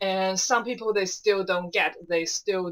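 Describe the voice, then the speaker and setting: At a moderate pace, a woman with a non-native accent speaks in a fairly low pitch. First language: not English. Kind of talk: casual talk to camera.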